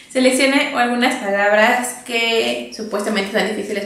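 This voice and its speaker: With audible room echo, a woman speaks in an animated tone at a fairly slow pace, her fairly high pitch showing ordinary pitch variation. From Mexico. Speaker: video creator. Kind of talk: casual chat. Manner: animated, laughing often. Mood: cheerful, playful. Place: home room.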